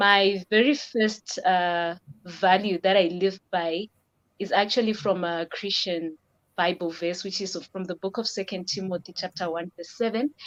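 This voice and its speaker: In a dry, close recording with no echo and a quiet background, a woman speaks in an ordinary speaking voice at medium pitch with fairly even intonation. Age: 20s. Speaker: aircraft maintenance technician. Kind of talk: interview.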